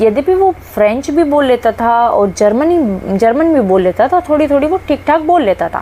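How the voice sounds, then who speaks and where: A woman with a Haryanvi accent and very wide pitch swings, amid noticeable background noise. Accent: Haryanvi tone in Hindi and English. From Haryana, India. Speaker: English teacher. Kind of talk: lecture. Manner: halting, with fillers.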